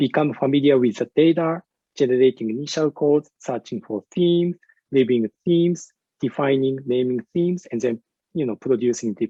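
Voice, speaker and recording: With a Japanese accent, a man talks at a moderate pace and medium pitch, using ordinary pitch variation. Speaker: university researcher and English teacher. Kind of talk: conference presentation. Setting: virtual conference. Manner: hesitant with many fillers.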